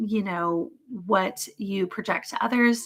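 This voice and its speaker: A woman speaks in a plain, everyday voice. Her pitch is fairly high and her pace fairly slow. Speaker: psychic mentor. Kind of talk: live stream teaching session. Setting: live video stream.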